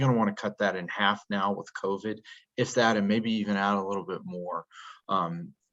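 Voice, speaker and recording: Against a quiet background, a man with an unremarkable speaking voice and a fairly low pitch talks at a moderate pace with fairly even intonation. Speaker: disaster relief organization representative. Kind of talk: presentation in an online meeting. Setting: video call.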